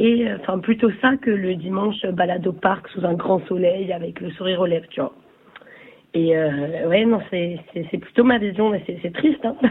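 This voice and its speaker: There is noticeable background noise as a woman speaks at a moderate pace and medium pitch, with ordinary pitch variation. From Nice, southern France. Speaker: listener. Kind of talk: recorded listener message.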